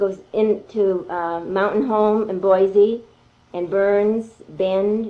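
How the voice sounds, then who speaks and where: A woman with an unremarkable speaking voice talks at a medium pitch, her intonation fairly even. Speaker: artist and interviewer. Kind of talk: interview question, casual conversation.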